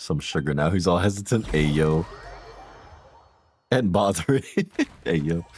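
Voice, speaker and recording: An animated tone with lively intonation at a fairly slow pace, broken by long, frequent pauses. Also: man, very deep, low pitch for a man. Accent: American. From US, family from Jamaica. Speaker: video game streamer. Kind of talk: casual live stream chat. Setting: live stream. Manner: casual, animated.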